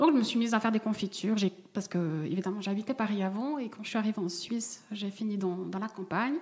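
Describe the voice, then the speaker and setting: A woman talks at a very fast pace and medium pitch. She has a slight Vaud accent. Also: ordinary pitch variation. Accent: slight singsong Swiss Vaud. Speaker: jam maker. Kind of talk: coaching conversation. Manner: singsong.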